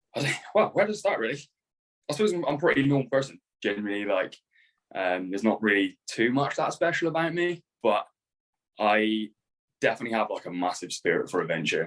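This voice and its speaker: Talking at a fairly quick pace, a man with a medium pitch moves through very wide pitch swings. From United Kingdom. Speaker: photographer. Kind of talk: casual chat. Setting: video call.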